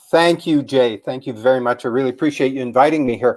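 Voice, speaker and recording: A man's unremarkable speaking voice, pitched medium, its pitch variation ordinary. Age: 60s. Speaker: anxiety coach. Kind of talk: interview testimony.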